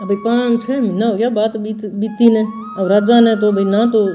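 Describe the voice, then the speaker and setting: The speaker has a Rajasthani accent. Music plays in the background. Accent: Bagri Rajasthani dialect. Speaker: religious storyteller. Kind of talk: devotional story narration.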